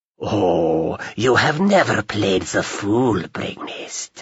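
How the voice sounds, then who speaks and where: Using a put-on character voice, a man speaks very slowly at a fairly low pitch. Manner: sarcastic, falsely friendly.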